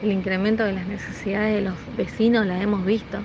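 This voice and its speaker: Over noticeable background noise, a woman talks at a moderate pace and medium pitch in a monotone, flat delivery. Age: 30s. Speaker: soup kitchen volunteer. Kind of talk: interview testimony.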